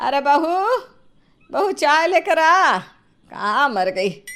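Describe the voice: A woman's put-on character voice, high-pitched and fairly bright, with big pitch swings at a very slow pace.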